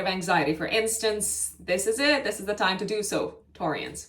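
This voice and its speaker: With lively intonation, a woman speaks at a moderate pace in a fairly high pitch. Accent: Romanian. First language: Romanian. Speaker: astrologer. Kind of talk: astrology forecast monologue. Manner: hesitant, many fillers and self-corrections.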